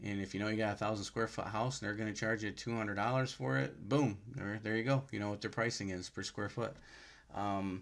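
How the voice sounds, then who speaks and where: A man at a very fast pace with fairly even intonation. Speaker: power washing business youtuber. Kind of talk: tutorial. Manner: casual, halting with fillers.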